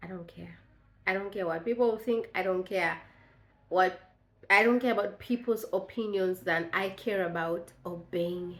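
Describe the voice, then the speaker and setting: A woman speaks with a Tanzanian accent. Her pitch is medium and her pace fairly slow. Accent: East African (Tanzanian) English. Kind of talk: devotional talk to camera. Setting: on video to camera.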